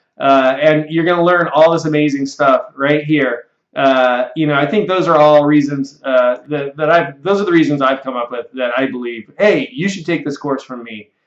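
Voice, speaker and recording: A man talks with hardly any pauses and ordinary pitch variation, the background quiet and the room echo audible. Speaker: computer software instructor; online course instructor. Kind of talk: sales pitch. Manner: fast. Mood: friendly, earnest. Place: office. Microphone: webcam.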